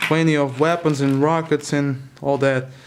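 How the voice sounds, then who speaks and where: This man talks at a very slow pace and with fairly even intonation while noticeable background noise carries on. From Europe. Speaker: toy collector vlogger. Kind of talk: casual product overview. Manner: halting, many fillers.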